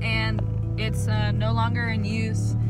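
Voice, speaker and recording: A woman speaks over loud music in the background, with a dry sound with no echo. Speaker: vlogger. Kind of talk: casual vlog chat. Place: car. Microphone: phone near.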